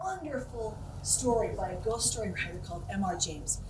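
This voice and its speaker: A woman talks at a moderate pace in an American accent. Noticeable background noise runs beneath her. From Utah. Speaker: storyteller. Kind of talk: ghost story telling.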